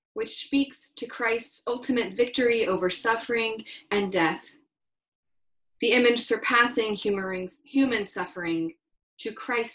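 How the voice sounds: Speaking at a fairly slow pace, a woman uses ordinary pitch variation in a fairly bright tone.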